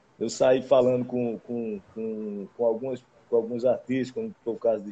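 A man speaks at a moderate pace. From Caruaru, Pernambuco, Brazil. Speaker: forró musician. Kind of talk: casual interview chat.

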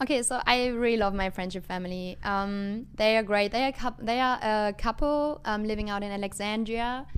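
Speaking with a German accent, a woman uses a fairly high voice, ordinary pitch variation and a moderate pace. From western Germany. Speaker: international student. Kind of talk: casual interview. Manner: hesitant, many fillers.

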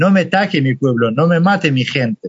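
A man with a Kurdish accent speaks at a fairly slow pace. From Iraqi Kurdistan. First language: Kurdish (speaking Spanish). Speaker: refugee. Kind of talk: testimony.

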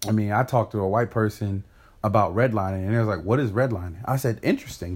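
A man's somewhat breathy voice at medium pitch and a very fast pace, very cleanly recorded against a silent background. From US, grew up in a rough urban neighborhood. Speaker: podcast co-host. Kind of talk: casual chat.

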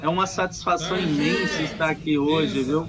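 Noticeable background noise under a man's fairly slow speech. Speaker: umbanda practitioner and singer. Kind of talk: casual chat. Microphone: too quiet.

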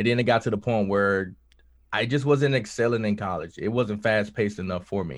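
A man speaks at a fairly quick pace with an American accent. His pitch is fairly low, with ordinary variation. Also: quiet background. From US South, Mississippi. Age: 20s. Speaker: musician and Air Force veteran. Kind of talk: casual chat.

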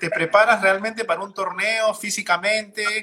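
A man's raised, projected voice at a moderate pace. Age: 30s. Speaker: podcast host. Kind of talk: casual interview. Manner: halting, repeats words.

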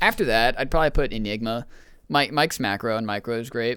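On a very clean recording with a silent background, a man uses a normal speaking voice at a medium pitch and a fairly quick pace. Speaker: podcast guest and maker of dice. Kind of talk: casual chat. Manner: casual, slangy.

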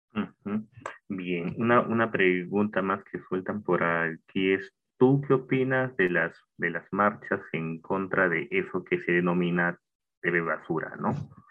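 Very slow, very deep, low speech from a man, with ordinary pitch variation. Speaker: podcast host. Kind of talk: interview.

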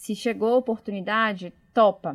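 The recording is very clean, with a silent background. A woman with a Bahian accent speaks at a fairly high pitch. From Bahia, Brazil (Salvador). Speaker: innovation manager. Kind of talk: casual interview.

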